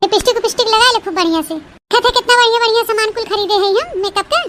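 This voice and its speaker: In a cartoonish character voice, a woman speaks at a very fast pace with a squeaky, extremely high pitch. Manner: bossy, breezy.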